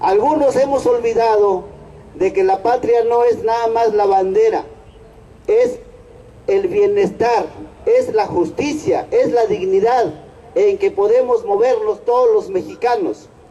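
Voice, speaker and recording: A man talks at an extremely high pitch with very wide pitch swings and very even loudness. His pace is very slow, with noticeable background noise behind him. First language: Nahuatl (speaking Spanish). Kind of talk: protest speech. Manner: halting.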